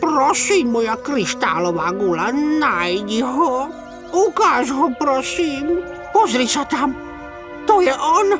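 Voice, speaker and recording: Over loud music in the background, a man uses a cartoonish character voice at an extremely high pitch. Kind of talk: cartoon dub. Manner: weepy.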